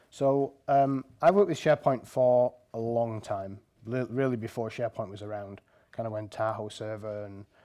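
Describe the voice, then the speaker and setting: Dark, mellow tone with a strong northern English accent and ordinary pitch variation. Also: man. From northern England. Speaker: software engineer, conference speaker. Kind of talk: conference talk.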